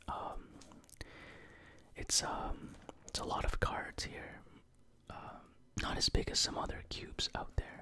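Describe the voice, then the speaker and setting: Whispering and soft-spoken, the speaker goes at a fairly slow pace with long, frequent pauses. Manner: soft ASMR whisper.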